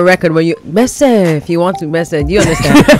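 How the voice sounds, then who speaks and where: A woman's medium-pitched voice with lively intonation against noticeable background noise. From Canada and Nigeria. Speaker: singer. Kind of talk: radio interview. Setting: radio studio.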